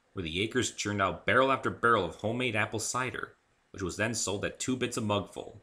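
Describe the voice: The text is given as plain reading aloud. Nothing more is added to the delivery.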